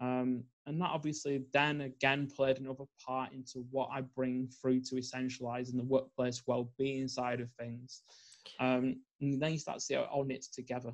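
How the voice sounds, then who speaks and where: The voice carries a Northern English accent and a monotone, flat intonation. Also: man, medium pitch for a man, moderate pace. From northern England. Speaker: environmental psychologist and life coach. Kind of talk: podcast interview.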